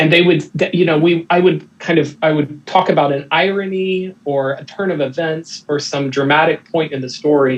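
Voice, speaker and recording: With an American accent, a man speaks at a fairly high pitch and fairly even intonation. His moderate pace leaves hardly any pauses. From United States. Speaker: missionary and theological educator. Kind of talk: casual podcast interview. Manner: halting, with many fillers and repeats.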